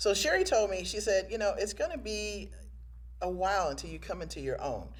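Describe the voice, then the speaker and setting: A woman talks at a fairly quick pace. Her voice carries audible room echo. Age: 60s. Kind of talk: casual interview chat.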